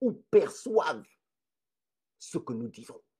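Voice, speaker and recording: A man is speaking. His pace is fairly slow. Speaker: live streamer, social commentator. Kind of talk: live stream talk. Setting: home living room, live stream. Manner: slow, deliberate.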